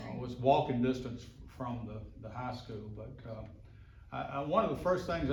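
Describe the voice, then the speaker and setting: With a Mississippi accent, a man speaks at a moderate pace and medium pitch amid audible room echo. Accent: Southern US (Mississippi). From US South, Mississippi. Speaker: local resident sharing memories. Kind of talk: reminiscing at a group meeting. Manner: halting, with fillers and repeats.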